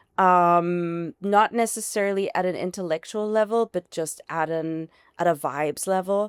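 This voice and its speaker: A woman speaks with a slight German accent. The sound is dry and close, with no echo. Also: medium pitch for a woman, ordinary pitch variation, moderate pace, very clean recording, silent background. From Germany. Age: 40s. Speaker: founder of an alcohol-free bar. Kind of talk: casual interview. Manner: animated.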